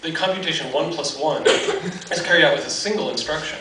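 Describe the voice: A man speaks at a fairly quick pace with fairly high pitch and lively intonation. Audible room echo surrounds his voice.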